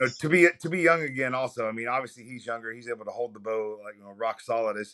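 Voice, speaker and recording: Speaking very fast with an American accent, a man uses a medium pitch, ordinary pitch variation and a bright, sharp tone, his loudness swinging widely. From Ohio, US. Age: 40s. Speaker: retired army veteran and archery coach. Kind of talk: interview. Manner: polite, formal address (yes sir).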